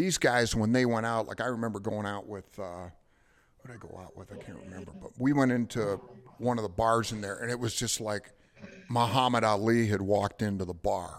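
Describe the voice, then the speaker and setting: With an American accent, a man talks at a fairly quick pace in an unremarkable speaking voice, with ordinary pitch variation and big swings in loudness. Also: fairly low pitch for a man. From Detroit. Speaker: ring announcer. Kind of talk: casual chat. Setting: studio.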